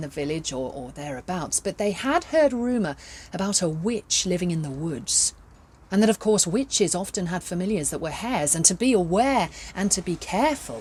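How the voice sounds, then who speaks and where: A woman speaks at a fairly quick pace with a medium pitch. Her voice is somewhat breathy and swings very widely in pitch. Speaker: professional storyteller. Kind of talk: children's storytelling. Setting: outdoors.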